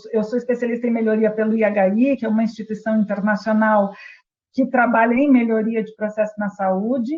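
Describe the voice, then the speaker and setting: A woman speaks with a fairly high pitch. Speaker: healthcare quality and patient safety specialist. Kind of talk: webinar presentation. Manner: hesitant, many fillers.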